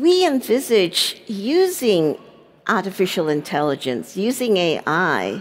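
A woman talks at a very slow pace. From Singapore. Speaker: internet policy advocate. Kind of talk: panel discussion. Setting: stage with audience. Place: stage. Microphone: headset.

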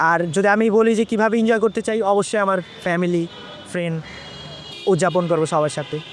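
A man speaks in a high voice. Noticeable background noise sits behind him. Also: ordinary pitch variation. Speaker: street interviewee. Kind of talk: vox pop interview.

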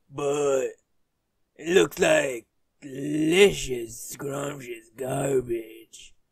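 A raspy, put-on character voice from a man at medium pitch and a very slow pace. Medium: dub.

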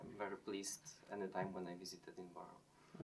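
A man speaks with a Polish accent over light background noise. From Poland. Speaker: chemistry lecturer. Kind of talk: interview answers. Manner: halting, with fillers. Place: office.

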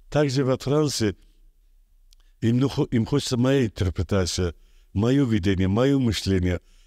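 A man with an Azerbaijani accent speaks at a fairly slow pace with long, frequent pauses, a dark, mellow tone and lively intonation. His loudness is very even, and the sound is dry with no echo over a quiet background. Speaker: artist; interviewee. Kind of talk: interview. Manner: halting. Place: studio. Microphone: studio mic.

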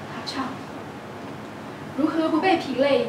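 A woman's voice amid noticeable background noise and audible room echo. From Taiwan. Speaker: poet. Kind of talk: poetry reading. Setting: live event. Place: hall.

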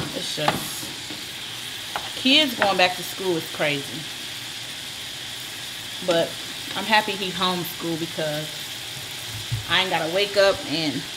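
There is noticeable background noise as a woman talks at a fairly slow pace. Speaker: home cook vlogger. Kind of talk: casual vlog chat. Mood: relaxed, upbeat. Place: kitchen. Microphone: camera far.

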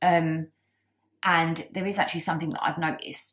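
A woman speaks with a British accent in a fairly low, somewhat breathy voice. Her pace is moderate. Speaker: vlogger. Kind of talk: casual vlog talk. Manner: halting, many fillers.

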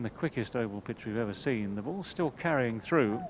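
Pitch variation is ordinary. The sound is dry with no echo, with light background noise. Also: man. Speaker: cricket commentator. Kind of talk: live cricket commentary.

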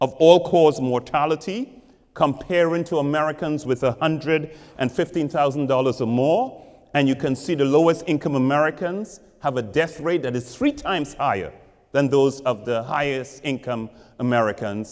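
With a quiet background behind him, a man speaks fairly slowly and his pitch varies in an ordinary way. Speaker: professor giving public lecture. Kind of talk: lecture. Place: church.

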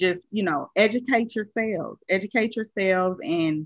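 A woman talks at a moderate pace over a quiet background. The sound is dry, with no echo. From US Midwest, Fort Wayne, Indiana; Indiana. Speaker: customer care analyst; interview guest. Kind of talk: interview. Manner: hesitant, many fillers. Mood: earnest, encouraging. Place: home room. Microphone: video call.

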